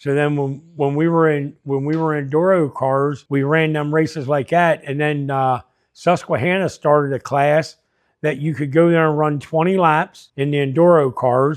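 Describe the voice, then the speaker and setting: Someone with a Pennsylvania accent talks at a moderate pace with fairly even intonation. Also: man, fairly high pitch for a man. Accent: rural Pennsylvania. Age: 60s. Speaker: car dealer and dirt track racer. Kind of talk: interview.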